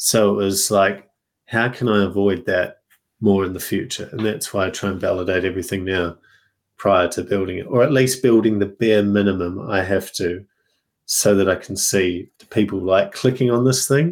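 The recording is very clean with a silent background. A man with an Australian accent speaks at a moderate pace, fairly low in pitch with ordinary variation. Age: 30s. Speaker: software company founder. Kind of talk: casual interview.

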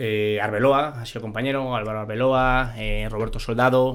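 The man's pitch is medium and his intonation fairly even. Audible room echo surrounds the recording. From Spain, Madrid. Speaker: former professional goalkeeper. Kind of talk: casual interview.

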